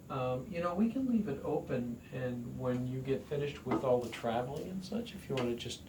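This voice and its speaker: Lively intonation marks this man's speech, which comes with audible room echo and noticeable background noise. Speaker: doctor. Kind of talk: doctor's appointment conversation. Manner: calm, reassuring.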